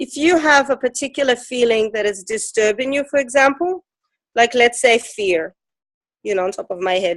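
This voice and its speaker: Dry and close with no echo, a woman's high-pitched voice moves at a moderate pace with lively intonation. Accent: non-native. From Ukraine. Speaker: emotion code teacher. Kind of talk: interview.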